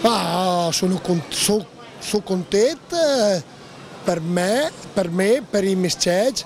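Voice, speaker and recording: Amid noticeable background noise, a high-pitched man speaks very slowly at very even loudness, with long, frequent pauses. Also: ordinary pitch variation. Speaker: dairy cattle breeder. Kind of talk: interview answer.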